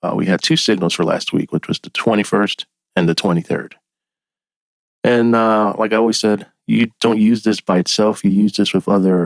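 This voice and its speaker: Quietly and at a moderate pace, a man with a fairly low pitch speaks with fairly even intonation in a dry, close sound with no echo. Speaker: forex trading analyst. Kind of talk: tutorial. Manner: halting.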